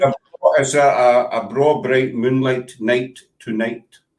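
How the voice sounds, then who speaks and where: Intonation stays fairly even in this fairly slow delivery with a Scottish accent. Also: man, medium pitch for a man. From Glasgow.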